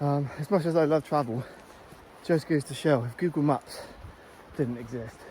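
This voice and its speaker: The voice has a dark, mellow tone and is somewhat breathy, with ordinary pitch variation and long, frequent pauses. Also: man, fairly high pitch for a man, moderate pace. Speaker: travel vlogger. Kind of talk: travel vlog narration. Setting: outdoors in a forest and on a beach.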